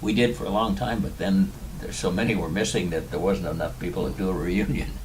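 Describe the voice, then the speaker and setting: A man with a Californian accent talks at a very fast pace in a very deep, low pitch with lively intonation, amid noticeable background noise and audible room echo. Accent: Californian American. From US West Coast (Tustin, southern California). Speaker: war veteran. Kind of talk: interview.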